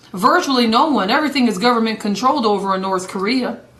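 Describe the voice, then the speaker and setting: A woman speaks in an animated tone with audible room echo. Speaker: evangelist. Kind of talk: live broadcast commentary. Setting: live video broadcast. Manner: fast.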